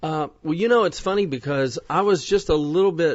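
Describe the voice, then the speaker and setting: A man speaks with a Southern US accent. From Kentucky, US South. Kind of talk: interview. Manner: hesitant, with many fillers.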